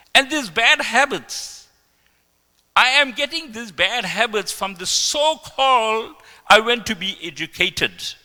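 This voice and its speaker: Speaking at a fairly slow pace, a man uses a raised, projected voice with an extremely high pitch, a bright, sharp tone and big swings in loudness. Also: lively intonation. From South Africa. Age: 60s. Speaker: devotee speaker. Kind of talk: testimony.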